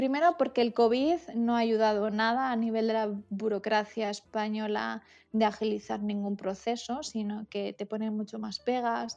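Speaking at a moderate pace with hardly any pauses, a woman with a Madrid accent keeps a fairly high pitch and fairly even intonation against a quiet background. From Madrid, Spain. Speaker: HR manager. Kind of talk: interview.

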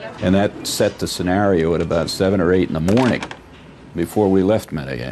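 Amid noticeable background noise, a man with a very deep, low pitch speaks at a fairly quick pace with ordinary pitch variation. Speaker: aviation investigator or crew interviewee. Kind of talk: interview recollection.

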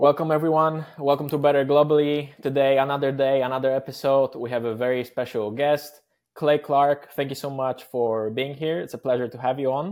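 A man's fairly high-pitched voice with a Polish accent, at a fairly quick pace with hardly any pauses and fairly even intonation, on a very clean recording with a silent background. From Poland. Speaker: podcast host. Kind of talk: interview.

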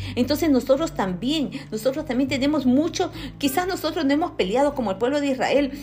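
A woman's high voice at a fairly quick pace. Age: 50s. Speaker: lay preacher. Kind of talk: sermon.

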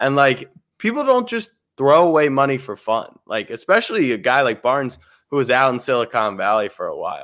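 Using a normal speaking voice, a man with an American accent talks at a fairly quick pace and a fairly high pitch. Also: lively intonation. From Maryland, US. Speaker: livestream co-host. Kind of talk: casual livestream chat. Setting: online livestream.

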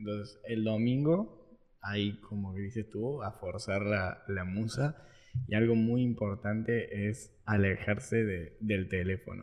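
A man with a fairly low voice. He talks at a very slow pace. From Argentina, Córdoba. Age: 20s. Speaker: marketing entrepreneur. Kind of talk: casual interview.

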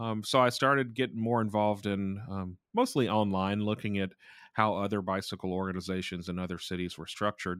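An American accent marks this man's ordinary speaking voice, fairly low in pitch, with fairly even intonation at a fairly quick pace. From US South, South Georgia. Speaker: cycling advocate and professor. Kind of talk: interview.

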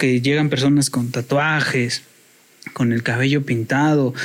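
Against noticeable background noise, a man speaks at a moderate pace with very even loudness. His fairly high voice holds a monotone, flat intonation. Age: 30s. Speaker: podcast guest. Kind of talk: casual chat.

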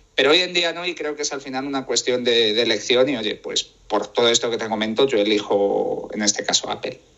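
A man with ordinary pitch variation and hardly any pauses, amid noticeable background noise. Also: medium pitch for a man, fairly quick pace. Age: 20s. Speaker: tech writer and podcaster. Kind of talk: interview. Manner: voice sometimes shaky from nerves.

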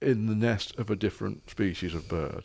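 A man's fairly low voice with vocal fry, ordinary pitch variation and a moderate pace. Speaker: guest, therapist or coach. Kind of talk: casual interview chat.

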